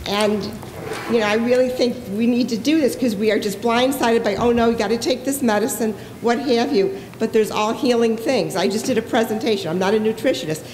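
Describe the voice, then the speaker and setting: Amid noticeable background noise and audible room echo, a woman with a fairly high pitch talks at a fairly quick pace. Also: ordinary pitch variation. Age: 60s. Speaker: audience member asking a question. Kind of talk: audience question at a panel. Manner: animated.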